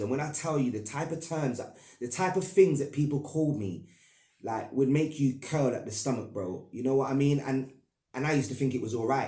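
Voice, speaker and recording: Somewhat breathy and medium in pitch, a man talks at a fairly quick pace with ordinary pitch variation as room echo is audible. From Northern Ireland, Belfast. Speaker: YouTuber. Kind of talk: personal storytelling monologue. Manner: casual, halting with repetitions.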